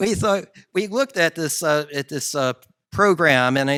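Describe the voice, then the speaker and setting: With a New Jersey accent, a man speaks at a fairly quick pace in a bright, sharp tone, recorded very cleanly against a silent background with a dry, close sound and no echo. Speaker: geneticist, researcher. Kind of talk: conference talk. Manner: hesitant, many fillers.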